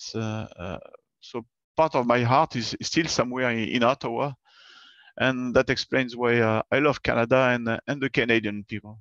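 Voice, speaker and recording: A man talks with a French accent and fairly even intonation. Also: medium pitch for a man, moderate pace, dry, close sound with no echo, quiet background. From southern France, Bordeaux. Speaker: space agency engineer. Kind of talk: online presentation. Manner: hesitant, many fillers.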